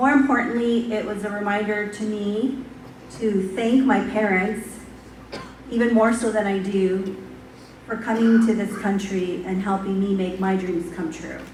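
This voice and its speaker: Amid noticeable background noise and audible room echo, a woman talks at a fairly slow pace, her medium-pitched voice fairly even in intonation. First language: not English. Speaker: university administrator. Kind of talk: speech.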